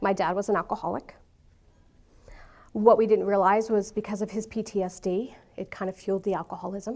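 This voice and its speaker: Speaking at a moderate pace with a New York accent, a woman uses a fairly high voice on a very clean recording with a silent background. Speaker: speaker sharing her life story. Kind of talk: talk to an audience.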